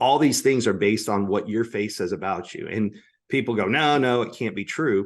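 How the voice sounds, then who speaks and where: In an ordinary speaking voice, a man with an American accent talks at a moderate pace, his fairly low pitch showing ordinary variation against a quiet background. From United States. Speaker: public speaker on communication skills. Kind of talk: podcast interview.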